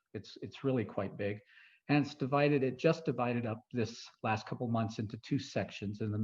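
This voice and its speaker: Against a quiet background, a somewhat breathy man with an American accent speaks with fairly even intonation. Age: 60s. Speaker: retired foreign service medical officer and guest speaker. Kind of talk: talk to a club audience. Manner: hesitant with fillers and restarts.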